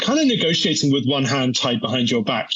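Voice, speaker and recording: A man speaks at a fairly high pitch in a British accent. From UK. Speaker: energy research analyst. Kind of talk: interview. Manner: halting.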